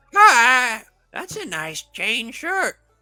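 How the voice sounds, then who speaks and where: A man uses a put-on character voice at an extremely high pitch. His pitch swings very widely. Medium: actual play.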